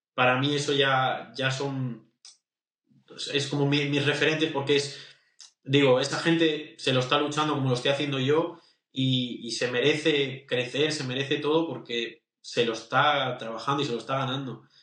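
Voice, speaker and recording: A man speaks with a fairly high pitch and monotone, flat intonation. Audible room echo surrounds his voice. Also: moderate pace. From Spain. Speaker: independent singer. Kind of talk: interview. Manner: halting, many repeated words.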